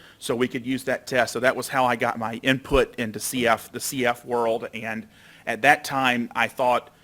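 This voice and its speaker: A bright, sharp tone in a monotone, flat delivery, on a very clean recording with a silent background. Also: man, medium pitch for a man, moderate pace. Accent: American. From Alabama, US South. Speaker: doctor and researcher. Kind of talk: lecture.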